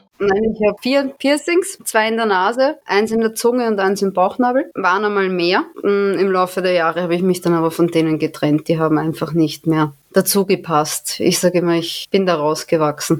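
A woman with a normal speaking voice at medium pitch, lively intonation, very even loudness, moderate pace and hardly any pauses. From Austria, Vienna. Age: 20s. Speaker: amateur adult performer. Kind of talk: interview.

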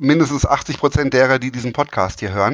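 Speaking at a moderate pace, a man talks in a fairly high voice. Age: 40s. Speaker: volleyball referee. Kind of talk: casual interview. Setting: remote call. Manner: hesitant, many fillers.

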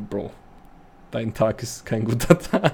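The voice belongs to a man with a medium pitch. Its pitch variation is ordinary. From Bavaria, Munich. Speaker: podcast host. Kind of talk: casual chat.

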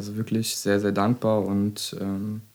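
A man's dark, mellow voice, fairly low in pitch, with monotone, flat intonation. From Hesse, Germany (Dietzenbach area). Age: 20s. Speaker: physiotherapist. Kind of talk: casual chat.

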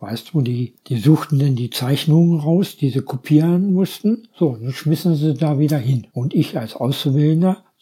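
Somewhat breathy and dark, mellow in tone, a man's fairly high voice moves at a fairly slow pace with ordinary pitch variation. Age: 70s. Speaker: local politician. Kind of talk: casual chat.

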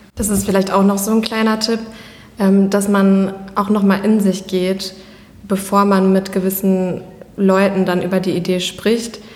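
Delivered at a fairly slow pace with flat, monotone intonation and long, frequent pauses, the speech carries audible room echo and noticeable background noise. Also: woman, medium pitch for a woman. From Germany, Iserlohn. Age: 20s. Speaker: fashion brand founder. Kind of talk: interview conversation. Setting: office.

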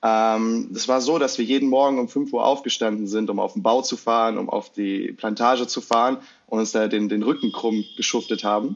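Hardly any pauses break up a normal speaking voice moving at a moderate pace with fairly even intonation. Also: man, medium pitch for a man. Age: 20s. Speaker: marketing psychology content creator. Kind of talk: casual interview.

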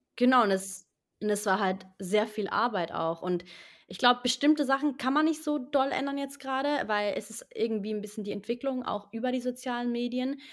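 On a very clean recording with a silent background, a woman with a high pitch talks at a moderate pace with ordinary pitch variation. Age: 20s. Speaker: actress and singer-songwriter. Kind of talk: interview.

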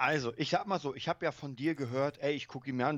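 A man with a fairly high pitch, talking at a fairly quick pace over a quiet background. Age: 30s. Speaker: film podcast co-host. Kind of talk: casual chat.

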